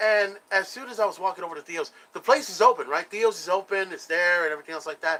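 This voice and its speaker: This man talks at a fairly quick pace in a high, raised and projected voice with ordinary pitch variation. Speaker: wrestling talk show host. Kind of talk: casual live-stream chat.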